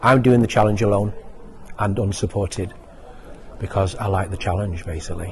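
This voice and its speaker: A fairly quick, fairly low-pitched male voice amid noticeable background noise. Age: 60s. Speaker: retired university lecturer, charity fundraiser. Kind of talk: interview testimony. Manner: halting.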